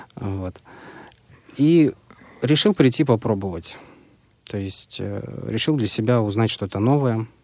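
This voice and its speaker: A man with a dark, mellow tone speaks at a very slow pace, using lively intonation and long, frequent pauses. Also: medium pitch for a man. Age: 20s. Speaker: music student and blind kart driver. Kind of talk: radio interview. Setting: radio studio.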